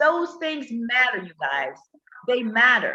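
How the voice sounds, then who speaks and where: A woman's high-pitched, raised, projected voice, bright, sharp, and animated, in a dry, close sound with no echo. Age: 50s. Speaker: relationship talk livestreamer. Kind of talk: casual chat. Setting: live stream.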